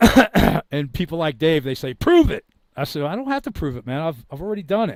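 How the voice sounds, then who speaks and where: Fairly high in pitch, this man speaks at a fairly quick pace with very wide pitch swings and big swings in loudness. The sound is dry and close, with no echo. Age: 50s. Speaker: online commentator. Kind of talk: casual chat. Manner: animated; halting.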